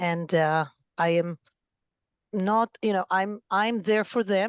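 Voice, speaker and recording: A woman with an Israeli accent speaks at a very slow pace with very even loudness and ordinary pitch variation. The background is quiet and the sound dry and close with no echo. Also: medium pitch for a woman. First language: Hebrew. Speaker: family therapist and parent coach. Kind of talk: podcast interview.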